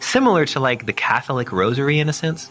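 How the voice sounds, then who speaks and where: Over music in the background, a man talks at a fairly quick pace in a fairly high voice. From Austria. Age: 30s. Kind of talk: interview answer. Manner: reflective, conversational.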